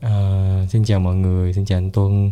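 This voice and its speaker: The man's tone is dark and mellow, with a fairly low pitch. He speaks at a fairly slow pace. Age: 20s. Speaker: entrepreneur. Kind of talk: casual chat.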